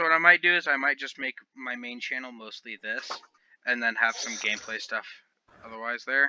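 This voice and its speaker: The sound is dry and close, with no echo. A man talks at a fairly quick pace in a bright, sharp tone with ordinary pitch variation. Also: medium pitch for a man, big swings in loudness. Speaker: podcast host. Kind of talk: casual chat. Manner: loud.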